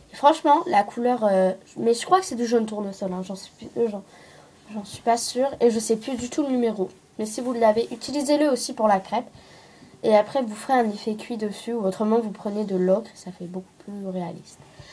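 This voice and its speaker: Somewhat breathy and dark, mellow in tone, a woman speaks at a moderate pace with ordinary pitch variation and big swings in loudness. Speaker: craft tutorial maker. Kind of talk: tutorial. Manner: hesitant, many fillers.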